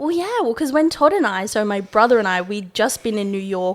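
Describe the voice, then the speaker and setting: In a very clean recording with a silent background, a woman with an Australian accent speaks at a medium pitch in an animated tone. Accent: Australian, noticeable to locals. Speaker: podcast host. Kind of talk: casual chat.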